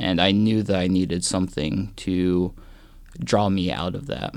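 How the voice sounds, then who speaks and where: A man with an American accent speaks in a very deep, low voice at a fairly slow pace with ordinary pitch variation. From US Midwest, southwest Kansas. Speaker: monk. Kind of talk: interview. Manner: halting.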